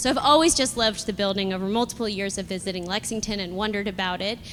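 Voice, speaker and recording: A woman speaks in a plain, everyday voice at a medium pitch. Her pitch variation is ordinary. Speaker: property developer. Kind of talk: live panel discussion. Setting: live event with audience.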